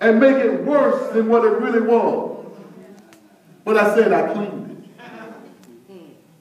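A man speaks fairly slowly in an animated tone, with light background noise and audible room echo. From US. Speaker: preacher. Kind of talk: sermon. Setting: church. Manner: call-and-response. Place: church. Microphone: camera far.

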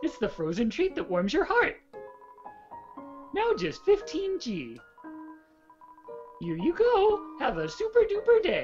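A put-on character voice at an extremely high pitch, fairly slow in pace, with long, frequent pauses and faint music in the background. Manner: upbeat, bubbly.

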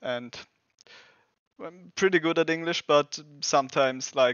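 In a German accent, the speaker talks at a fairly slow pace with ordinary pitch variation, a fairly bright, clear, smooth tone, and a dry, close sound with no echo. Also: man, fairly high pitch for a man.

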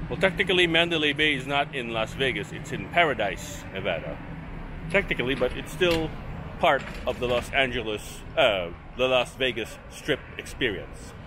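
A man speaks at a moderate pace over noticeable background noise. The sound is dry, with no echo. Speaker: travel vlogger. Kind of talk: casual vlog chat. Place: street. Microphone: phone near.

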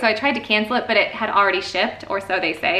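Amid audible room echo, a woman with an American accent talks at a very fast pace. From Chicago. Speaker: homeschooling mom YouTuber; mother vlogger. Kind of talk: casual haul video monologue. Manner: chatty, fast, many fillers. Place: home room. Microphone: camera far.

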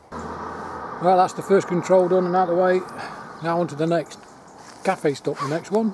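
Over noticeable background noise, a man with a high pitch speaks at a moderate pace with fairly even intonation in a dry sound with no echo. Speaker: cyclist vlogger. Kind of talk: casual vlog chat. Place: open country. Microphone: phone near.

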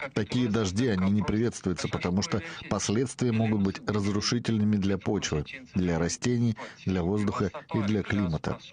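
A man talks at a moderate pace with a fairly low pitch and ordinary pitch variation. His loudness stays very even against noticeable background noise. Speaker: TV news reporter. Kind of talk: news report.

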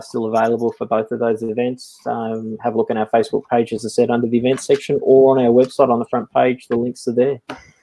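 With monotone, flat intonation, a man talks at a fairly quick pace and medium pitch. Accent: Australian. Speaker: live stream host. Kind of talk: casual chat.

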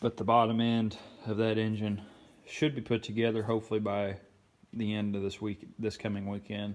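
At a moderate pace, a man speaks in a fairly low, monotone voice. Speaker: car restoration vlogger. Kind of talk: casual project update vlog.

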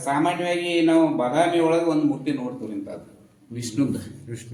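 Over noticeable background noise and with audible room echo, a man speaks at a fairly high pitch. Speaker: retired teacher and temple caretaker. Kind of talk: informal explanation of local history.

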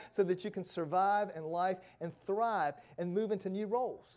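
A man's voice comes through with a dark, mellow tone. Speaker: pastor. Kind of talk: sermon. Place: church. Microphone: lapel.

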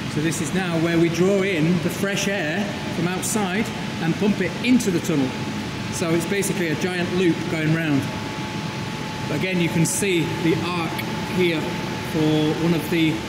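A man talks at a moderate pace with long, frequent pauses. Loud background noise runs underneath. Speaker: explorer vlogger. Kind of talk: casual vlog chat. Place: hall. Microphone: phone near.

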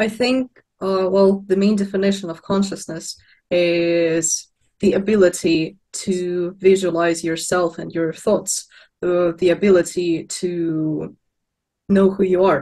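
In a Russian accent, a woman speaks at a very slow pace with fairly even intonation. Her tone is dark and mellow, and the background is quiet. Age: young. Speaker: philosophy student. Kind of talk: panel discussion. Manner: halting, many fillers. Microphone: video call.

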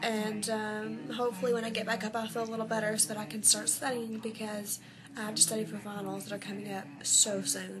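A woman keeps her intonation fairly even while noticeable background noise runs behind her. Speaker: vlogger. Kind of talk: casual vlog.

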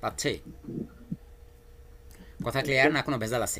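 A man speaks at a medium pitch and a moderate pace, his tone bright and sharp. His intonation is fairly even, with some vocal fry.

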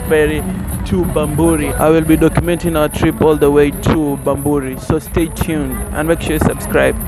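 Clear music plays in the background as a man talks at a moderate pace, the sound dry with no echo. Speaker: travel vlogger. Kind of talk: casual vlog chat. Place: bus. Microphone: phone near.

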